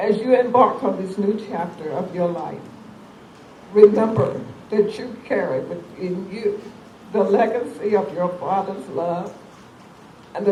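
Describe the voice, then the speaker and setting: Noticeable background noise accompanies speech at a fairly slow pace with long, frequent pauses. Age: 70s. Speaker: charity foundation founder and event emcee. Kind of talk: reading aloud a prepared tribute.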